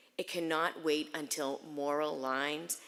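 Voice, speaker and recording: A woman with a North Shore Massachusetts accent speaks very slowly in a very deep, low voice with monotone, flat intonation. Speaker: Holocaust memorial speaker. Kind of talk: memorial speech. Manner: earnest, measured.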